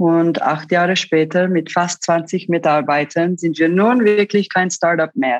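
A woman with a Swiss accent speaks at a fairly slow pace in a fairly low pitch, with very even loudness, ordinary pitch variation and hardly any pauses. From Switzerland, Zurich. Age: 30s. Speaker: online shop founder. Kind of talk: interview. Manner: halting.

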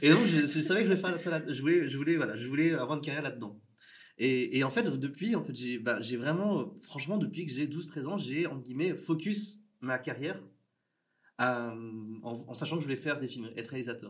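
Audible room echo follows a man speaking at a moderate pace in a fairly high pitch with lively intonation. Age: 30s. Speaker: filmmaker. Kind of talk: casual interview.

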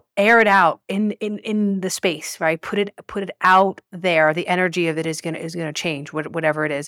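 In a very clean recording with a silent background, a woman talks at a moderate pace in an ordinary speaking voice with ordinary pitch variation. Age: 40s. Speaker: podcast guest. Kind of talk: casual chat.

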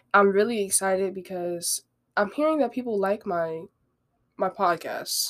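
A woman in an ordinary speaking voice talks at medium pitch with ordinary pitch variation. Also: moderate pace. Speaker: podcast host. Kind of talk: casual solo podcast talk. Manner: conversational, rambling, with filler words.

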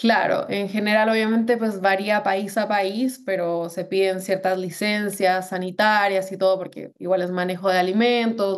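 This woman speaks at a moderate pace and medium pitch, keeping her intonation fairly even. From Colombia, Bogotá. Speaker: delivery app restaurant manager. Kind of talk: interview.

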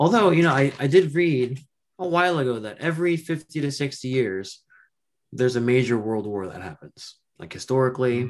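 A man with a normal speaking voice talks at a moderate pace and medium pitch. His intonation is lively, with big swings in loudness. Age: 20s. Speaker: podcast guest. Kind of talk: casual chat.

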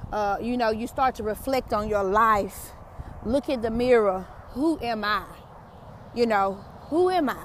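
A woman with a Southern US accent speaks in a fairly high, animated voice. She goes at a fairly slow pace with long, frequent pauses. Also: ordinary pitch variation. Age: 40s. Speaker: podcast host, motivational speaker. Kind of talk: motivational monologue. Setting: outdoors, walking. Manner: animated, preachy.

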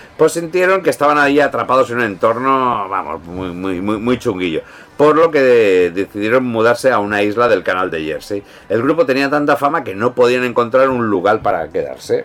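An animated voice with a Peninsular Spanish accent moves at a fairly quick pace with very wide pitch swings. Noticeable background noise runs underneath. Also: man, medium pitch for a man. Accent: Peninsular Spanish (Spain). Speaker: podcast host. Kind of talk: casual chat.

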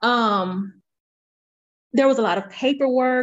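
A woman at a fairly high pitch, with ordinary pitch variation

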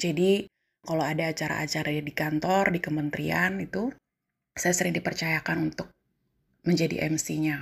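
Vocal fry colors a moderate-paced delivery with fairly even intonation. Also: woman, very deep, low pitch for a woman. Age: 30s. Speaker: civil servant. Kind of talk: personal storytelling monologue.

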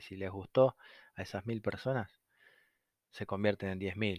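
A man speaks at a moderate pace with monotone, flat intonation. The recording is very clean, with a silent background. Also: dry, close sound with no echo. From Argentina. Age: 30s. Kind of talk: casual monologue. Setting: at home on a sofa. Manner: halting, many fillers.

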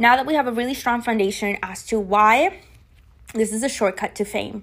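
A woman speaks with a non-native accent at a moderate pace. Her pitch is fairly high and her intonation lively. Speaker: podcast host. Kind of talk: solo monologue podcast, casual coaching talk. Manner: conversational, chatty, with fillers.

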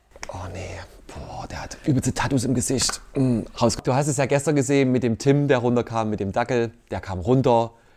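A man's medium-pitched voice at a moderate pace, ordinary pitch variation, noticeable background noise. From Leipzig, Saxony. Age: 30s. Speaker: dating show contestant. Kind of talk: casual interview.

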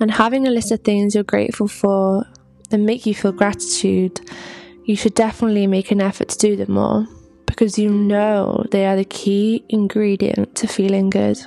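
At a moderate pace and medium pitch, a woman speaks in a monotone, flat intonation, with a dry, close sound with no echo and noticeable background noise. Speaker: podcast host. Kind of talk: solo self-help talk.

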